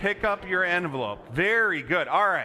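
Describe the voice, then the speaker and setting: Bright, sharp tone from a man, voice raised and projected. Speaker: pastor. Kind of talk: children's sermon. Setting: church.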